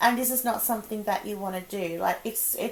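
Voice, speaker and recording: Her voice sits fairly high, and her pace is moderate. Behind the woman, background noise is noticeable. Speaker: tarot reader. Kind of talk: casual tarot reading to camera. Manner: rambling, sometimes mumbled.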